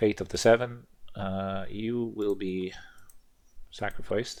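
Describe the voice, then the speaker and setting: A man talks at a very slow pace in a fairly low pitch with monotone, flat intonation. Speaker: gaming video creator. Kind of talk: let's play commentary. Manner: casual, thinking aloud.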